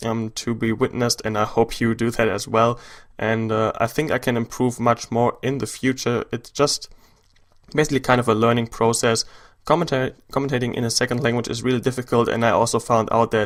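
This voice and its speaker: A man with a German accent speaks at a fairly quick pace and medium pitch. His intonation is monotone and flat in a very clean recording with a silent background. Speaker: gaming YouTuber. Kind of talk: gameplay commentary. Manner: hesitant, many fillers.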